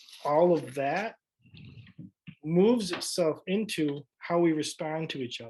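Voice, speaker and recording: This is a plain, everyday voice from a man. He speaks in a fairly high pitch with ordinary pitch variation. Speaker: high school English teacher. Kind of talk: presentation and Q&A.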